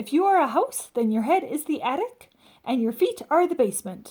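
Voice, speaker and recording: A woman puts on a character voice at a high pitch. She talks at a fairly quick pace with very wide pitch swings. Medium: read story. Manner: earnest, matter-of-fact.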